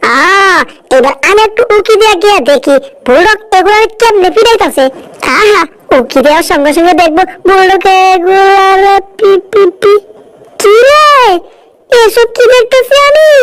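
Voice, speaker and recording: At a moderate pace, a put-on character voice squeaks out at an extremely high pitch. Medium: fan dub. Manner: exclamatory, fretful, dialect-heavy.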